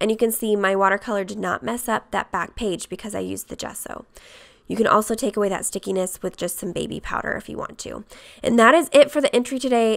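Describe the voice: In a put-on character voice, a woman rattles along at a very fast pace, hoarse and raspy, at a medium pitch with big swings in loudness.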